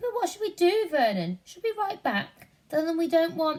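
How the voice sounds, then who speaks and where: Putting on a squeaky character voice, a woman speaks at a moderate pace and an extremely high pitch, with very wide pitch swings. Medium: read story. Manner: anxious, high-strung.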